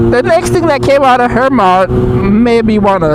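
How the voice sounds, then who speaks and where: Noticeable background noise and audible room echo surround the speech. The tone is relaxed and animated, with very wide pitch swings. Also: man. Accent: slight Jamaican. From Jamaica. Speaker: vlogger. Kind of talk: casual vlog while riding motorbike. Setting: outdoors on a motorbike ride. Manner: relaxed, animated.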